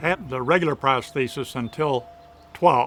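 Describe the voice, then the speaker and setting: Music in the background behind a man's fairly high voice, with a Midwestern American accent, moderate pace, and ordinary pitch variation. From Michigan. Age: 70s. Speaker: retiree, amputee patient. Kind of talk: interview answer.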